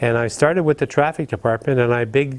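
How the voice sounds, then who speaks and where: The speaker is a man with a medium pitch. He has an Ontario accent. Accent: Canadian English (Ontario). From Ottawa, Canada. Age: 70s. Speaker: retired firefighter. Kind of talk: interview.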